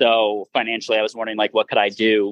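Over a quiet background, a man speaks at a fairly quick pace, the sound dry and close with no echo. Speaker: adventure travel organizer. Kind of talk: casual interview.

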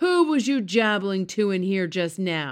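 A put-on character voice booms out at a middle pitch. The pace is fairly slow. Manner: booming, gruff.

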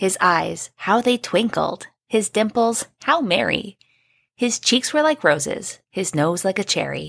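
A woman at a fairly slow pace, vocal fry in her voice, very wide pitch swings, and a dry, close sound with no echo. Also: medium pitch for a woman, very even loudness. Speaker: podcast co-host. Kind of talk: poem reading, trading stanzas aloud. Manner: bright, rhythmic, sing-song storybook delivery.

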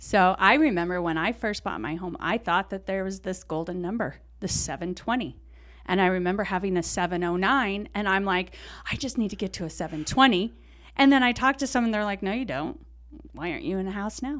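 A woman's normal speaking voice at a medium pitch and moderate pace, with lively intonation, on a very clean recording with a silent background. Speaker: mortgage loan officer podcast host. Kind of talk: casual interview chat.

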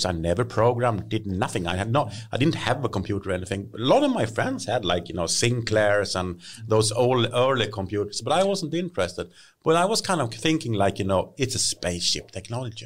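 A man with a Swedish accent talks at a fairly quick pace. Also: very clean recording, silent background. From Sweden, Hälsingland. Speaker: tech industry expert. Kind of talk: casual interview.

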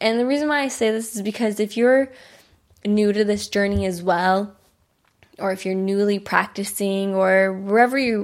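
A woman with an American accent speaks at a moderate pace and medium pitch. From US suburbs. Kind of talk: solo podcast monologue, casual. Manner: casual, chatty, animated.

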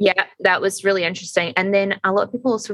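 A woman speaks with a Scottish accent at medium pitch. Her intonation stays fairly even. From Scotland. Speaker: podcast co-host. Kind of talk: casual chat.

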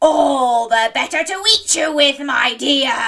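Growling in a put-on character voice, the speaker uses a high pitch at a fairly slow pace. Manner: snarling, menacing.

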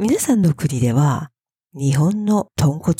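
Somewhat breathy, a woman with a very deep, low pitch and a dark, mellow tone is heard in a dry, close sound with no echo. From Japan, Fukuoka. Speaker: Japanese language teacher podcaster. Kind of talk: language lesson monologue. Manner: slow.

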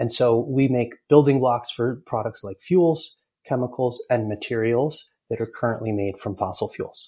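A man speaks at a medium pitch with an American accent. His tone is dark and mellow, and somewhat breathy. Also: ordinary pitch variation, moderate pace. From US Northeast, upstate New York (Ithaca). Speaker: clean tech company founder and CEO. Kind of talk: interview.

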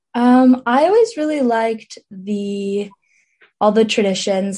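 Her tone dark and mellow, a woman speaks at a fairly slow pace with ordinary pitch variation. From New Jersey, Montclair. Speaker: college student and student newspaper editor. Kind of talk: interview.

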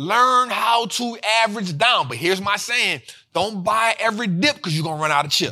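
Raising and projecting his high voice, a man speaks at a moderate pace with lively intonation. His tone is animated and passionate, bright and sharp. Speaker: finance show host. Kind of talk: casual energetic commentary on stock market, video show. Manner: animated, passionate.

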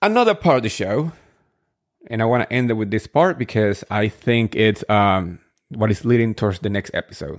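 A man with a Spanish accent talks at a moderate pace and medium pitch on a very clean recording with a silent background and a dry, close sound with no echo. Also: ordinary pitch variation. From Spain, moved to New Jersey at 13. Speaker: podcast host, reality TV recapper. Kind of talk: solo casual recap podcast. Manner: chatty, enthusiastic.

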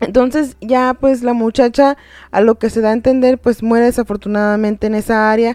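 A woman's dark, mellow tone comes through a very clean recording with a silent background and a dry, close sound with no echo. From Tijuana, Mexico. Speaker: podcast host. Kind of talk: casual storytelling chat.

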